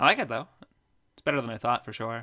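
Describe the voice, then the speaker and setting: A man with a medium-pitched voice speaks in a playful tone that comes across bright and sharp. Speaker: co-host or guest, friend of host. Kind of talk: casual chat. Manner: joking, playful.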